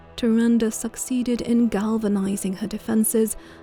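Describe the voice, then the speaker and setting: Over music in the background, a woman speaks fairly slowly in a fairly high voice. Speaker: gaming channel host and lore reader. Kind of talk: lore reading, ASMR-style narration.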